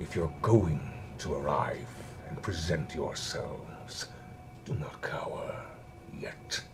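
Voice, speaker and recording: A man's put-on, growling character voice at a fairly slow pace, with long, frequent pauses and clear background noise. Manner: commanding, taunting.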